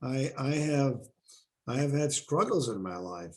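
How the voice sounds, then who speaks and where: A man's dark, mellow, somewhat breathy medium-pitched voice with a non-native accent, at a fairly slow pace. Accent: foreign. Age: 70s. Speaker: university president. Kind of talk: interview. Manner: animated.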